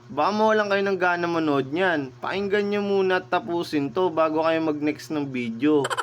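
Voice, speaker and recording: A man talks at a moderate pace with a fairly high pitch and ordinary pitch variation. He barely pauses, and background noise is noticeable. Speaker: motorcycle taxi driver and vlogger. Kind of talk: casual storytelling vlog. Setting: outdoors in rain.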